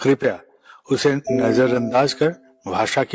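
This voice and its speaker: A man speaks at medium pitch with a non-native accent. The sound is dry and close with no echo. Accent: non-native Hindi. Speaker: spiritual leader. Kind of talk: religious address. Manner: formal.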